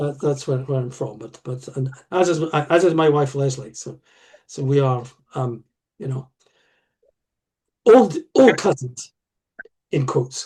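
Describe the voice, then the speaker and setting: A somewhat breathy man's voice, fairly high in pitch with ordinary pitch variation, fairly slow, with long, frequent pauses and big swings in loudness. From Scotland, Aberdeen. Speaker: history professor. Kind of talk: casual chat. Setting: video call. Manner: halting, many repetitions.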